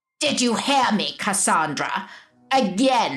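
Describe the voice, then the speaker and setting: A shrill, put-on character voice, female-sounding and fairly high in pitch. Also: fairly slow pace. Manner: shrieking.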